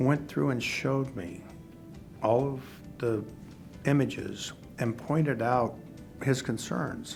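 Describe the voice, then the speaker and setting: A man speaking at a fairly slow pace over music in the background. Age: 60s. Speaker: heart attack patient. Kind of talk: interview answer.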